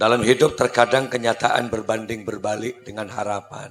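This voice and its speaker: This man talks in a monotone. His intonation stays flat throughout. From Madura, Indonesia. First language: Madurese (speaking Indonesian). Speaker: Islamic preacher. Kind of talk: humorous sermon.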